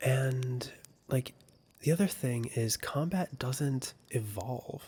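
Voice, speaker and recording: A soft-spoken man talks in a somewhat breathy voice. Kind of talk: soft-spoken video game review.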